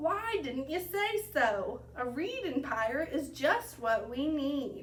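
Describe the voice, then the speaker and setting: A woman does a put-on character voice, growling at a high pitch. She speaks fairly slowly over clear background noise. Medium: read story. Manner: growling, pirate speech.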